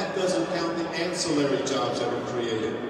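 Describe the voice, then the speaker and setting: Strong room echo and noticeable background noise fill the recording. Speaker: cannabis advocate, rally organizer. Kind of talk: rally introduction. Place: hall.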